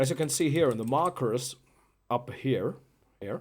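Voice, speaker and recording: A man with a German accent at a fairly slow pace. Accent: German accent, non-native English. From Germany. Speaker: musician presenting own album. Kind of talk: live stream chat. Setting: live stream. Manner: halting, many fillers and repeats.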